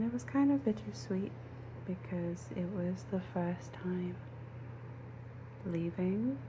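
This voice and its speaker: Soft-spoken, very slow speech with long, frequent pauses and very wide pitch swings over noticeable background noise. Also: woman, very deep, low pitch for a woman. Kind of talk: ASMR casual chit-chat to camera.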